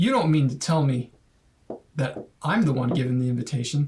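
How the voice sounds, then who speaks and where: A man performs a put-on character voice. It is fairly high in pitch and delivered at a fairly quick pace. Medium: actual play. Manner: formal, slightly pompous.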